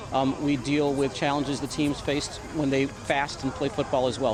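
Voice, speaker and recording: A man with a fairly high voice talks fairly quickly while noticeable background noise carries on. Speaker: film director. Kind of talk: interview answer.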